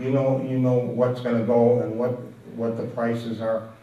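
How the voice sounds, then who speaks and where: A man's voice sits at a medium pitch. The room echo is audible. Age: 80s+. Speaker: antiques dealer and collector. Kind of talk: talk to an audience. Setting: room with a live audience. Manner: halting.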